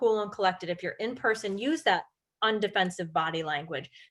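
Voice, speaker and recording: A woman with an American accent speaks at a fairly quick pace with ordinary pitch variation in a plain, everyday voice. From upstate New York, St Lawrence County. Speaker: real estate agent and trainer. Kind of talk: webinar presentation. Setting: online webinar.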